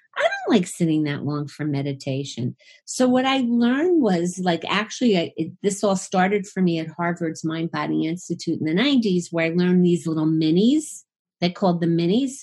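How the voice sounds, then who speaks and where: A somewhat breathy female voice with lively intonation against a quiet background. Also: moderate pace. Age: 60s. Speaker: psychotherapist and sex therapist. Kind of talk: interview.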